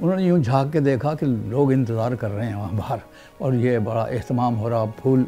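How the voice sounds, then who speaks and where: A man talks with lively intonation. There is music in the background. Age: 80s+. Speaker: poet and author recounting history. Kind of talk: oral history testimony.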